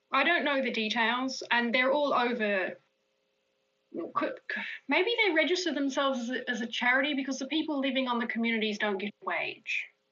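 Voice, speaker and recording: A woman's raised, projected voice, high in pitch, with ordinary pitch variation at a fairly quick pace. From Australia. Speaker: magazine editor. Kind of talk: interview. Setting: live stream.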